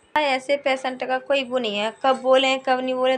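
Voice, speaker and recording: This is a woman speaking. Her pitch is high. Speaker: vlogger. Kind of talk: casual vlog talk. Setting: indoors at home.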